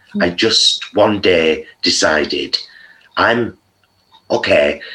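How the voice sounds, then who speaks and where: A man speaks with a strong Greater Manchester accent. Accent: strong Oldham. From Oldham, northern England. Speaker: vegan content creator. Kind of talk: casual interview chat.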